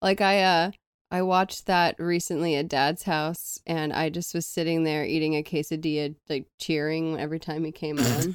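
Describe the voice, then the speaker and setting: Against a very clean recording with a silent background, a woman speaks in a plain, everyday voice. Her pitch is fairly low, her intonation fairly even, and her pace moderate. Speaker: podcast co-host. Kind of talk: casual banter podcast chat.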